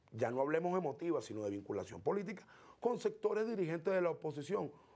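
A man speaks in a high pitch with a dark, mellow tone and lively intonation. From eastern Venezuela (El Tigre, Anzoátegui); Anzoátegui, Venezuela. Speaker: political activist; guest. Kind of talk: interview. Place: studio. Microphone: lapel.

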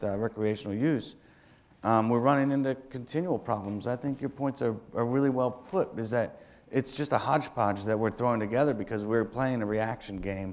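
A man's voice at a moderate pace with ordinary pitch variation. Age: 40s. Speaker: city council member. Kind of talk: speech. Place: hall. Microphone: lapel.

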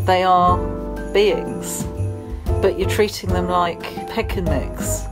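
Clear background music under a woman's very slow speech in a British accent. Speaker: vlogger. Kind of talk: casual talk to camera. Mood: wry, mildly pleading. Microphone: phone near.

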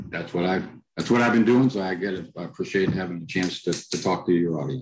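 A very deep, low-pitched man with an American accent against noticeable background noise. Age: middle-aged. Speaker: author and culture consultant; podcast guest. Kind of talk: interview. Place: home room. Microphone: headset.

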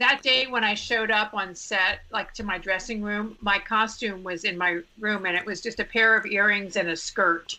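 This is an ordinary speaking voice, a woman at medium pitch. She talks at a moderate pace with fairly even intonation. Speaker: actress, TV host and author. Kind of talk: casual chat.

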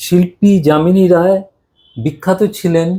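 A man speaks with a dark, mellow tone at a high pitch. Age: 70s. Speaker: amateur folk painter. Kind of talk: casual explanation while painting.

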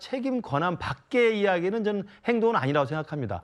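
Lively intonation marks this man's high voice. He moves at a fairly quick pace. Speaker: political commentator. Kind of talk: news panel discussion. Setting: studio.

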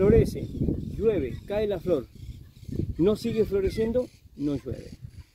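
Speaking at a very slow pace with long, frequent pauses, a man uses lively intonation and a high pitch. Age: 60s. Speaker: farmer. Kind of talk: casual chat.

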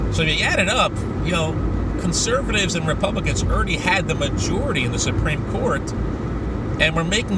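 A man talks at a moderate pace, the sound dry with no echo, while loud background noise carries on. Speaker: street preacher, evangelist. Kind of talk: religious commentary to camera. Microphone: phone near.

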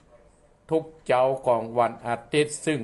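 This man's medium-pitched voice stays monotone, his intonation flat. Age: 60s. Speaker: Buddhist monk, abbot; program host. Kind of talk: dharma radio talk. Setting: live stream recorded on webcam.

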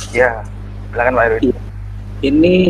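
There is light background noise. The voice belongs to a man. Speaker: talk show co-host. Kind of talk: casual interview. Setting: video call. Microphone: video call.

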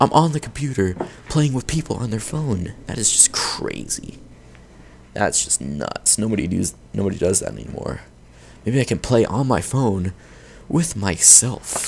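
A man speaks at a medium pitch in an angry tone, with very wide pitch swings and noticeable background noise. He keeps a moderate pace but leaves long, frequent pauses. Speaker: gaming YouTuber. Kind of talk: gameplay commentary. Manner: animated; prone to angry outbursts.

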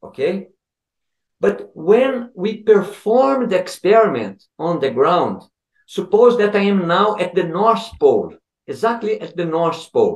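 With a Portuguese accent, a man speaks fairly slowly at a high pitch with ordinary pitch variation, audible room echo and a quiet background around him. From Brazil. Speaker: physics professor. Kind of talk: interview. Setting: video call. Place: home room. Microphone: video call.

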